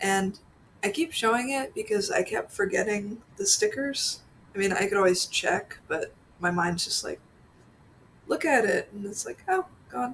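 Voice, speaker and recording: The speaker has a slight Pennsylvania accent. The pace is fairly slow. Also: woman. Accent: slight Pennsylvania accent on some words. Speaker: orchid vlogger. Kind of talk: casual vlog voiceover.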